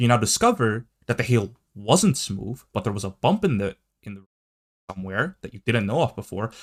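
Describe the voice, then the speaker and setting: At a moderate pace and medium pitch, a man with a non-native accent is heard in a dry, close sound with no echo. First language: not English. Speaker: gaming video commentator. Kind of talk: commentary video reacting to tweets. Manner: halting, with many fillers and restarts.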